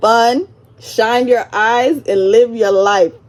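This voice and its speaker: A woman speaks in a high pitch with an animated tone and very wide pitch swings. Noticeable background noise runs underneath. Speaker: vlogger. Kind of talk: storytime monologue. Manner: fast.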